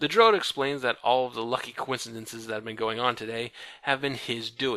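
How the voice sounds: The pitch stays mostly level. It comes in a natural reading voice.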